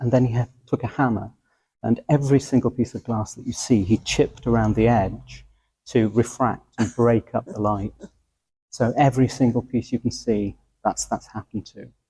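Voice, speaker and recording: A man speaks at medium pitch, somewhat breathy, with a dark, mellow tone and fairly even intonation, his loudness swinging widely. The sound is dry and close with no echo, on a very clean recording with a silent background. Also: moderate pace. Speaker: church steward. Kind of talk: guided tour explanation.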